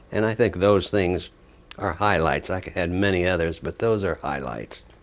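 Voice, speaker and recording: A man with a very deep, low pitch and vocal fry, at a moderate pace with ordinary pitch variation. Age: 80s+. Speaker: plastic surgeon and humanitarian founder. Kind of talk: interview.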